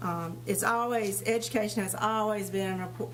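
This woman talks at a moderate pace in an eastern North Carolina accent. Audible room echo and noticeable background noise surround her voice. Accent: US Southern (eastern North Carolina). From eastern North Carolina, Tarboro. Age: 60s. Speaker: retired dental hygienist, board appointee candidate. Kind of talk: prepared statement at public board meeting.

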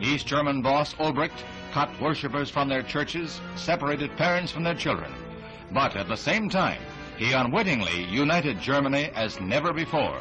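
Over music in the background, a man speaks with lively intonation at a fairly high pitch. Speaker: newsreel narrator. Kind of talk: 1960s newsreel narration.

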